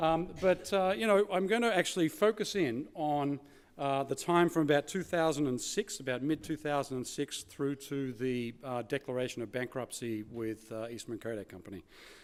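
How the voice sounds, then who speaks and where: Speaking at a moderate pace with hardly any pauses, a man with an Australian accent has a fairly high pitch and lively intonation, on a very clean recording with a silent background. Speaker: keynote speaker, former corporate manager. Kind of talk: conference keynote speech. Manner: hesitant, many fillers.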